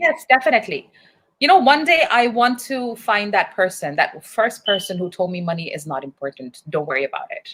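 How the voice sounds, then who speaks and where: A woman's fairly high, fairly quick voice with vocal fry, very wide pitch swings and big swings in loudness. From Pakistan. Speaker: English teacher and livestream host. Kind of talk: casual live-stream chat. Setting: live video stream.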